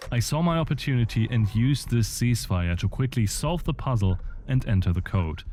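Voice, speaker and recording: A man's dark, mellow, somewhat breathy voice at medium pitch, with lively intonation, a fairly quick pace and very even loudness. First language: not English. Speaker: gaming video essayist. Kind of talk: video essay narration with gameplay commentary.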